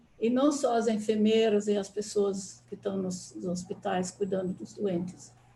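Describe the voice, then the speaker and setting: A woman speaks at a medium pitch and a fairly slow pace, with hardly any pauses. Her intonation is fairly even, and there is noticeable background noise. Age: 80s+. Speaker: anthroposophy speaker. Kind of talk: online talk.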